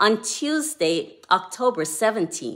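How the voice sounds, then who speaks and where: Speaking at a very slow pace, a woman with a bright, sharp tone is heard in a very clean recording with a silent background. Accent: Jamaican. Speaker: devotional author. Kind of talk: devotional talk.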